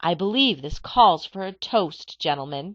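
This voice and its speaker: A female-sounding, put-on character voice growls at a middle pitch and a moderate pace. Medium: read story.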